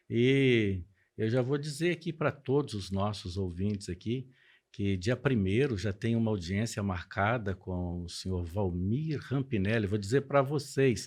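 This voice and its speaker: A man's fairly low voice with ordinary pitch variation at a fairly slow pace, an unremarkable speaking voice. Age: 60s. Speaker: pastor. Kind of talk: podcast interview.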